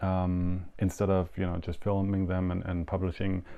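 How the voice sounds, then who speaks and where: A man with a German accent, a very deep, low pitch, and a moderate pace. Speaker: yo-yo show host. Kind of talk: live show monologue. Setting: home studio live stream. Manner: hesitant, many fillers.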